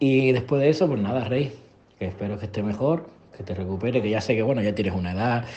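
Over light background noise, the speech moves at a fairly quick pace with ordinary pitch variation. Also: man. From Spain. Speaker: police officer; podcast host. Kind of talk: recorded voice message. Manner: casual. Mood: joking, friendly. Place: home room. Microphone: webcam.

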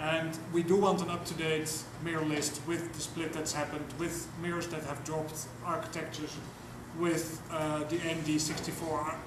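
Noticeable background noise sits behind a man talking at a moderate pace. His intonation is monotone and flat. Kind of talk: discussion session contribution. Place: meeting room. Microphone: camera far.

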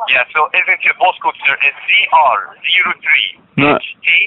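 A man's fairly high-pitched voice with a slightly husky edge, ordinary pitch variation and a fairly slow pace, in a dry, close sound with no echo

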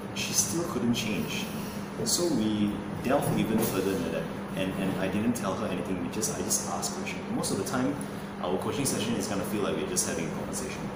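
Loud background noise and audible room echo accompany speech at a moderate pace. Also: man. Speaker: fitness or nutrition coach. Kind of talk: interview answer. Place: gym.

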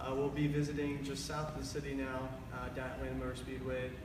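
Noticeable background noise and audible room echo around a male voice. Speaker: driving instructor. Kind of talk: live product announcement. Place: garage. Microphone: camera far.

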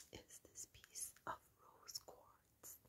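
A woman is whispering. Her pace is very slow. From Ireland. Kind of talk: ASMR sleep video. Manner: whispered; soft-spoken, slow.

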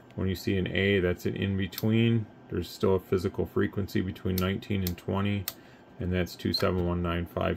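Moderate pace over light background noise. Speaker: radio technician. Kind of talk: tutorial. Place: workshop.

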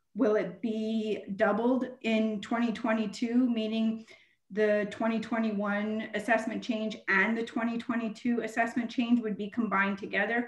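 Against a quiet background with audible room echo, a woman with a Canadian accent speaks at a fairly high pitch and a moderate pace, her intonation monotone and flat. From Canada. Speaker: municipal treasurer. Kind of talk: council meeting presentation. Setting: video call. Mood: earnest, emphatic. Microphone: video call.

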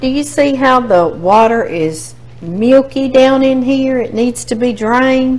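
The pace of this woman's speech is very slow. Her pitch moves in a lively way. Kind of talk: cooking tutorial chat. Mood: cheerful, laughing. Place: kitchen.

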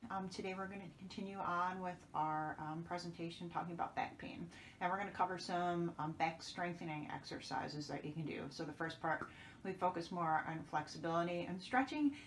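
The pace is fairly quick, with ordinary pitch variation. Light background noise can be heard. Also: woman, fairly low pitch for a woman. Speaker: wellness instructor. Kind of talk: tutorial. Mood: calm, caring. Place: home room. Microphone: camera far.

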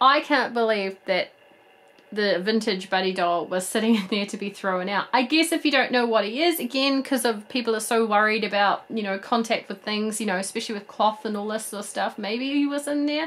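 A woman speaks at a medium pitch and a fairly quick pace. Her tone is fairly bright, with ordinary pitch variation.

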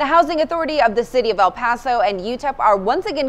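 Her pitch fairly high, a woman rattles along at a very fast pace with lively intonation. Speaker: news anchor. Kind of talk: news reading. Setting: studio. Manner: formal; steady, polished. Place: studio.

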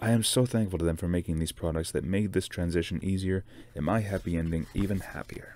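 A man talks at a moderate pace with a very deep, low pitch, a dark, mellow tone and ordinary pitch variation, the sound dry with no echo. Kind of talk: book reading aloud. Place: home room. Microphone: webcam.

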